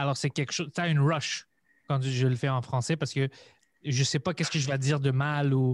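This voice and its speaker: This man has a fairly high pitch and speaks at a moderate pace with monotone, flat intonation. The sound is dry and close, with no echo. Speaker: comedian and podcaster. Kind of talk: casual chat.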